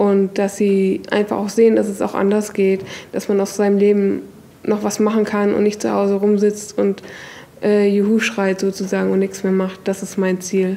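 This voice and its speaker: Her intonation monotone and flat, a woman speaks at a moderate pace. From northern Germany, Hamburg; Germany. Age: 20s. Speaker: kitchen assistant and literacy self-help group member; interviewee. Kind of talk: interview testimony; interview answer. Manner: hesitant, many fillers. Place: classroom.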